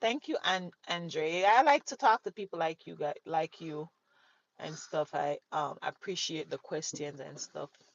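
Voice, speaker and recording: The loudness swings widely at a fairly slow pace. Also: woman. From Jamaica. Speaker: livestreamer. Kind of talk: casual chat. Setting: live stream. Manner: animated.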